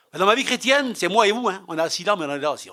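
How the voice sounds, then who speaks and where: With lively intonation and a bright, sharp tone, a man talks on a very clean recording over a silent background. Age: 60s. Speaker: preacher. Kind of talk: sermon. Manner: animated.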